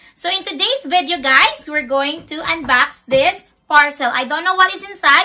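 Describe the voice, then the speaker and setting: A woman with a Visayan Filipino accent speaks in a raised, projected voice at a moderate pace, her high pitch carrying a bright, sharp tone and lively intonation. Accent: Filipino (Cebuano) English. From Philippines, Cebu; Philippines. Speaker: vlogger. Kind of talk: casual unboxing vlog. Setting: home bedroom. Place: home room. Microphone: phone near.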